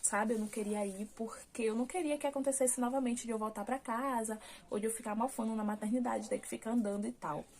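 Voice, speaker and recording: A woman's fairly high voice, a normal speaking voice with fairly even intonation. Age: 20s. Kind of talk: casual talk to camera, personal birth story.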